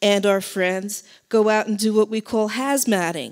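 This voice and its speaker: A woman speaks at a very slow pace with fairly even intonation. The background is quiet. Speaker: speaker. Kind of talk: public speech. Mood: earnest, urgent. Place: hall. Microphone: handheld.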